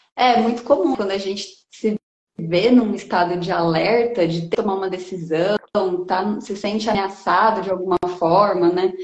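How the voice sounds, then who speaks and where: A normal speaking voice from a woman, pitched medium, with ordinary pitch variation and a moderate pace. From interior of São Paulo state, Brazil (Bauru area, rural). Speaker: environmental educator and researcher. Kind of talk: casual interview chat. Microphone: connection stuttering at times.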